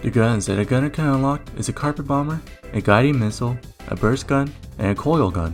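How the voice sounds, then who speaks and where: The speaker talks at a fairly quick pace with ordinary pitch variation, with music in the background. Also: man, medium pitch for a man. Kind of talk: video game review narration.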